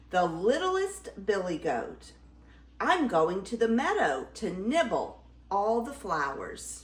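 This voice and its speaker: Against light background noise, a woman uses a squeaky put-on character voice at a medium pitch. She speaks at a fairly slow pace. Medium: read story.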